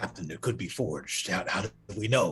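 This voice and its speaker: This raspy, put-on character voice moves at a fairly quick pace. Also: man. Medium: actual play. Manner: evasive, noncommittal.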